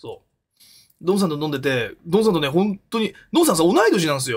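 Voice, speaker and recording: The speaker's pitch swings very widely at a very fast pace. The background is quiet. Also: man. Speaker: live streamer. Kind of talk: casual stream chat. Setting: home soundproof room. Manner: rambling with many fillers. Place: home room. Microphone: studio mic.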